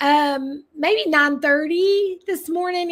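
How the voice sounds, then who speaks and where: An animated woman with an American accent speaks in a high voice with ordinary pitch variation. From US South (eastern Tennessee, Texas). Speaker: makeup consultant. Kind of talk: live product demonstration. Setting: livestream.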